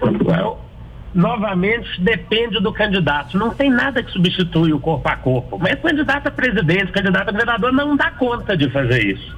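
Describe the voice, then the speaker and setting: With noticeable background noise, a man talks at a moderate pace. His pitch is high and swings very widely. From Minas Gerais, Brazil (Belo Horizonte). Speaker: political marketing consultant and author. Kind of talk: radio interview.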